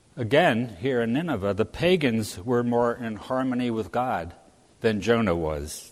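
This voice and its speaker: With an American accent, a man speaks at a fairly slow pace and with lively intonation in a room with audible echo. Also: medium pitch for a man. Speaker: lay preacher. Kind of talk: sermon. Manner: halting, with frequent fillers.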